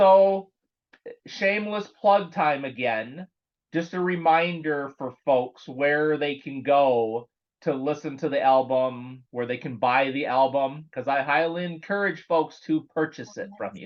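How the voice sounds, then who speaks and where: With a normal speaking voice, a man talks at a fairly slow pace and fairly high pitch, using ordinary pitch variation. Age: 50s. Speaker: metal podcast host. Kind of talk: interview. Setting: online call.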